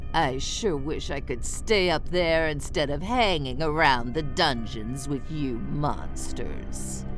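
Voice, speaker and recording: A put-on character voice at a fairly slow pace, with loud music in the background. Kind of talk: party game narration. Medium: solo performance. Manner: playful, theatrical.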